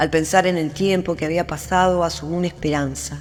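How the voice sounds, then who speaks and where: An Argentine accent at a moderate pace, with music in the background. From Argentina. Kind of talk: short story narration.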